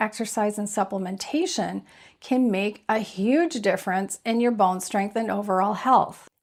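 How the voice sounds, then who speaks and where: Speaking in a normal speaking voice at a fairly slow pace, a woman uses a fairly high pitch with ordinary pitch variation on a very clean recording with a silent background. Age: 60s. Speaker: health video creator. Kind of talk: health advice talk. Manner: conversational.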